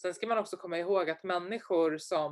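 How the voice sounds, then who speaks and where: The speaker uses a normal speaking voice with fairly even intonation at a moderate pace. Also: woman. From Sweden, Stockholm suburbs. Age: 20s. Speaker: entrepreneur and investor. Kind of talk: interview.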